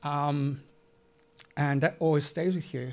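At a moderate pace, a man speaks with a fairly high pitch. His intonation is monotone and flat. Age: 40s. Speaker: community group founder. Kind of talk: live panel discussion. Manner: halting.

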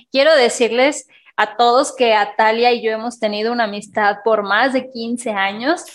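A woman with a fairly high pitch speaks at a moderate pace, her intonation fairly even. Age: 30s. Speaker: podcast co-host. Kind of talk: casual chat.

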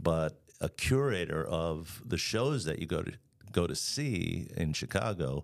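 This man talks with vocal fry on a very clean recording with a silent background. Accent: American. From Long Island, New York. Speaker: arts center executive director. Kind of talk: casual interview chat.

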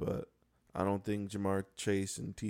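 At a fairly slow pace, a man with an American accent speaks in a dark, mellow, fairly low voice with fairly even intonation. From Buffalo, New York. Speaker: sports podcast co-host. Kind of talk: casual chat.

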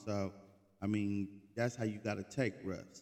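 In an American accent, a man speaks at a moderate pace with a fairly low pitch and a flat, monotone delivery. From Oklahoma City, Oklahoma. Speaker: sports podcast host. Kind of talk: casual solo monologue. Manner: casual, filler-heavy slang.

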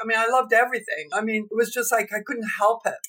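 A woman's high-pitched voice with a Canadian accent. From Canada. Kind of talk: interview testimony and teaching.

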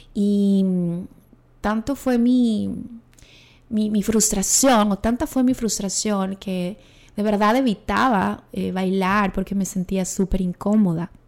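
A woman speaks at a very slow pace, with long, frequent pauses. Her pitch is medium and her intonation fairly even. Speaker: podcast host and coach. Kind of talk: solo reflective monologue. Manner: trained diction.

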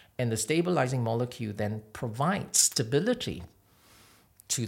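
A man's somewhat breathy voice at a medium pitch. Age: 40s. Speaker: cosmetic doctor. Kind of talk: interview. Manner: halting.

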